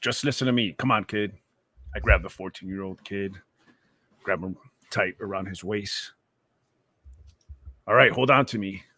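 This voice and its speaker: A man's put-on character voice, raspy and fairly low, at a moderate pace with long, frequent pauses and big swings in loudness, on a very clean recording with a silent background. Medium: actual play. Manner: firm, reassuring.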